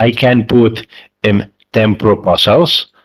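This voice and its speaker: Very slow speech from a man with a Spanish accent and medium pitch. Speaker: community member. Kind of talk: online town hall question. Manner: halting. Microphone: echo from open mic.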